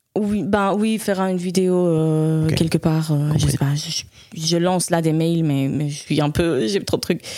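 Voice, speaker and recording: A woman talks at a fairly slow pace, her pitch fairly low with ordinary variation. Noticeable background noise sits behind her. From Spain. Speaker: jazz saxophonist. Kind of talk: interview. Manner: halting.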